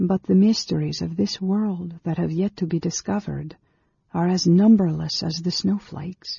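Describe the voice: In a put-on character voice with a dark, mellow tone, a husky, rough edge and vocal fry, the speaker goes at a fairly slow pace with fairly even intonation, the sound dry and close with no echo.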